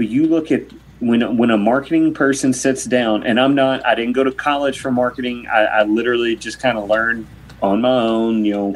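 Talking at a fairly quick clip, a man with a medium-pitched voice is heard against noticeable background noise. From Kentucky, US. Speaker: motorcycle racing reporter. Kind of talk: casual chat.

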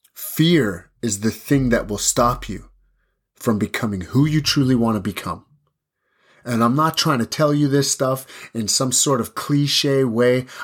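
Animated in tone, a man talks at medium pitch with ordinary pitch variation. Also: fairly slow pace, very clean recording, silent background. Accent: Canadian Prairies. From Saskatchewan reserve, Canada. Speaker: podcast host, kickboxer. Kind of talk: motivational monologue.

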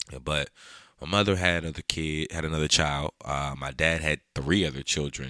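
In a dry, close sound with no echo, a man speaks at a moderate pace with a very deep, low pitch, a bright, sharp tone and vocal fry. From Prince George's County, Maryland (DC area). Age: 20s. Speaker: podcast host and photographer. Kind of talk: casual solo monologue. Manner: hesitant, many fillers and repetitions.

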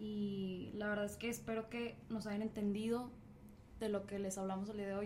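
Talking at a fairly quick pace, a woman with a Mexican accent is heard with audible room echo. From Mexico. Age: young. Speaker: podcast host. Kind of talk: casual chat. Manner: animated.

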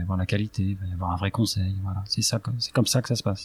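Very fast and somewhat breathy, a man's fairly low voice shows ordinary pitch variation on a very clean recording with a silent background and a dry, close sound with no echo. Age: 40s. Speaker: real estate investor, company director. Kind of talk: interview.

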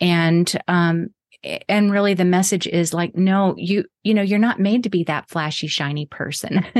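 Against a quiet background, a plain, everyday voice speaks at a moderate pace with fairly even intonation. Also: woman, fairly low pitch for a woman. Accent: American. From Texas. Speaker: artist and author. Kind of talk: interview chat.

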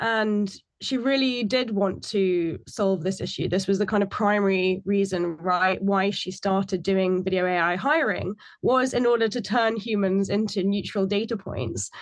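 Against a quiet background, a woman with an unremarkable speaking voice talks at a fairly slow pace and medium pitch, with ordinary pitch variation and very even loudness. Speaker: AI researcher and podcaster. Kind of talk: podcast discussion.

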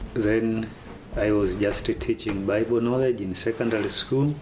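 A man speaks at a fairly slow pace with fairly even intonation. Noticeable background noise sits under his voice. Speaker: pastor. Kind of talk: interview monologue.

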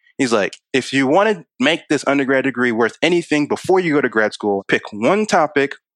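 An unremarkable speaking voice moves at a fairly quick pace with lively intonation, in a dry, close sound with no echo. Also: man. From Maryland, Baltimore County. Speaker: software engineer. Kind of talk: interview.

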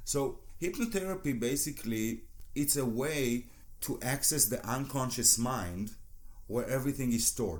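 An Israeli accent at a moderate pace, with ordinary pitch variation and very even loudness. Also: man, medium pitch for a man. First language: Hebrew. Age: 40s. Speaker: hypnotherapist and former judo athlete. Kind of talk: interview.

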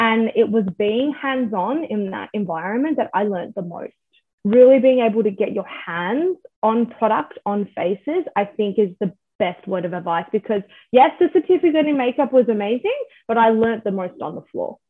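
Moderate pace and lively intonation from a woman with a fairly high pitch. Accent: Australian. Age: 20s. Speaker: makeup artist. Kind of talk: casual chat.

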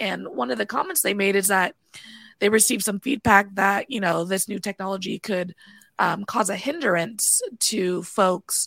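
This woman has an American accent, a medium pitch and vocal fry. She moves at a moderate pace with ordinary pitch variation, in a dry, close sound with no echo. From US West Coast, Bay Area California. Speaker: podcast host and dispatcher. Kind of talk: casual interview chat.

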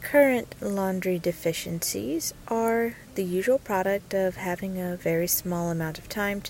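At a fairly slow pace and with ordinary pitch variation, the voice comes through over noticeable background noise. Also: woman. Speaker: podcast host and lifestyle blogger. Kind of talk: solo monologue podcast.

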